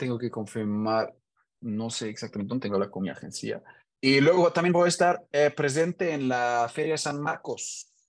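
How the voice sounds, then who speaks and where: A man speaks in a German accent with lively intonation. The background is quiet. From Germany, Hannover. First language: German (speaking Spanish). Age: 30s. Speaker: engineer and DJ. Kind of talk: casual interview. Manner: halting, repeats words.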